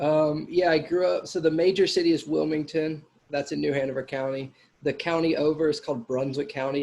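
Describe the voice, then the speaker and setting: This man has a Southern accent and speaks at a fairly quick pace with fairly even intonation. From US South, North Carolina. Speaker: actor. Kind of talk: interview. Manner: casual.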